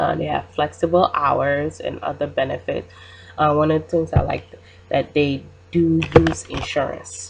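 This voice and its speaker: A woman with a non-native accent speaks at a fairly slow pace amid noticeable background noise. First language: not English. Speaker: student. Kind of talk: class presentation. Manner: halting, many fillers.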